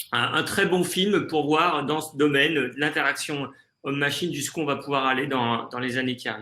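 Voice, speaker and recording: A man with a fairly high pitch and a bright, sharp tone speaks with ordinary pitch variation. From France, Jura. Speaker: tech conference presenter. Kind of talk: webinar discussion. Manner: halting, many fillers and repetitions.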